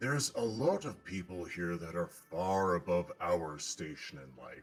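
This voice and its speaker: With faint music in the background, a man does a put-on character voice at a very deep, low pitch and a moderate pace. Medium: actual play. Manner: polite, hesitant.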